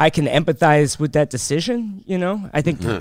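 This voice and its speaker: A man's plain, everyday voice, fairly high in pitch, with lively intonation at a moderate pace, on a very clean recording with a silent background. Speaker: comedian. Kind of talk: casual interview chat.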